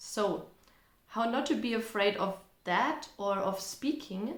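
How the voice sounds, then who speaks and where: In a German accent, a woman speaks with audible room echo around her. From Germany. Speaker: language teacher and content creator. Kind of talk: casual Q&A vlog. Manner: conversational, relaxed.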